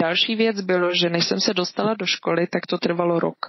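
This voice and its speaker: This woman has an ordinary speaking voice, medium in pitch, moving at a moderate pace with fairly even intonation. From Czech Republic, moved to Switzerland as a child. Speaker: artist. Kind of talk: casual interview.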